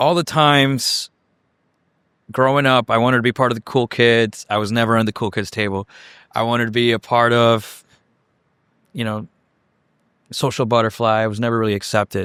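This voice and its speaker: A man with a Chicago accent talks at a fairly quick pace with long, frequent pauses, a medium pitch and fairly even intonation. The recording is very clean, with a silent background and a dry, close sound with no echo. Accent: Chicago American English. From Chicago area (Cicero, Illinois), born in Mexico. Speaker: executive director of a heliport. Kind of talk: interview. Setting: on site at a heliport.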